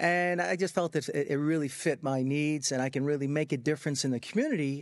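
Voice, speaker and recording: A fairly high-pitched man with a New York accent and fairly even intonation. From US Northeast, Long Island, New York. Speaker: medical marijuana physician. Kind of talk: interview. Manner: halting.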